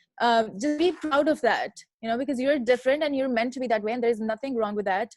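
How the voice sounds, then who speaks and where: A woman's high voice at a very fast pace, ordinary pitch variation, and a dry, close sound with no echo. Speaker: international student. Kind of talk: panel discussion.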